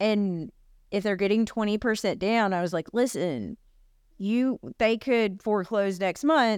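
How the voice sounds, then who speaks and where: This woman has a medium pitch and ordinary pitch variation, with a Southern US accent. She speaks at a fairly slow pace in a very clean recording with a silent background. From US South, Alabama and Texas-Arkansas border area. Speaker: realtor and podcast co-host. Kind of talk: casual chat.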